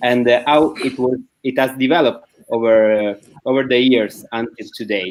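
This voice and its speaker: Delivered at a moderate pace with fairly even intonation, the speech carries an Italian accent. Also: man, medium pitch for a man. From Italy. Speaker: panel moderator. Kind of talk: panel discussion. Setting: live-streamed online panel.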